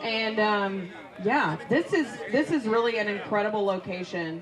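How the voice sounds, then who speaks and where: Over crowd noise and audible room echo, a woman speaks at a moderate pace with a fairly high pitch. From US South. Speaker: livestream host. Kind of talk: live interview.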